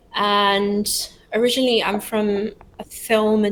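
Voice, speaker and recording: A woman speaks with a British accent on a very clean recording with a silent background. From London, England. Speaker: startup founder. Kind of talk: interview.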